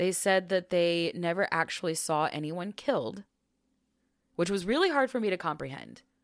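In a very clean recording with a silent background, a normal speaking voice with an American accent talks at a moderate pace with lively intonation. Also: woman, fairly low pitch for a woman. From small-town US. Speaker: podcast co-host. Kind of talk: storytelling.

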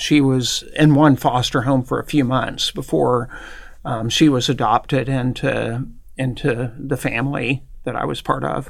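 Vocal fry runs through this man's voice, and he has an American accent. He talks at a fairly slow pace with fairly even intonation. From US Midwest, southern Indiana. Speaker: university professor. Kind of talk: interview. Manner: halting.

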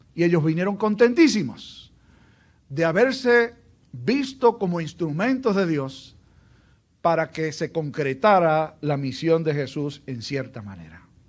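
On a very clean recording with a silent background, a man with a Puerto Rican accent speaks fairly slowly at a high pitch, with very wide pitch swings and big swings in loudness. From Puerto Rico, Aguadilla. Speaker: pastor. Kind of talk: sermon.

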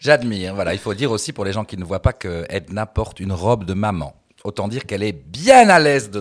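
In a normal speaking voice, a man talks at a fairly quick pace with a fairly low pitch and big swings in loudness. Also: lively intonation. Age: 50s. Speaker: drag performer. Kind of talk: casual chat. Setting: stage with audience.

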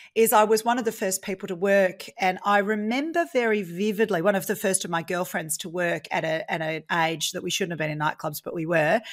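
A woman with an Australian accent, medium in pitch, at a fairly quick pace, on a very clean recording over a silent background. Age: 40s. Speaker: property investor. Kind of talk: interview.

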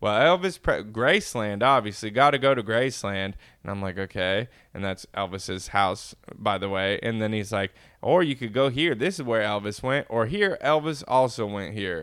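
In an American accent, a man talks with lively intonation. His pitch is medium and his pace moderate. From California, Inland Empire. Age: young. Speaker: podcast co-host. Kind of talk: casual chat.

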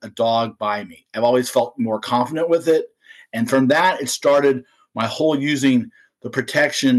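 At a moderate pace, this is a normal speaking voice with ordinary pitch variation. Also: man. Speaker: dog trainer. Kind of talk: casual interview.

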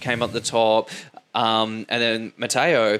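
A man is speaking. He has an Australian accent. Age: 30s. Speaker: podcast host, fitness. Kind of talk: interview.

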